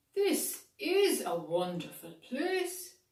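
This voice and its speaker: The speaker uses a put-on character voice. There is a slight echo. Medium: read story. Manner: earnest, gentle.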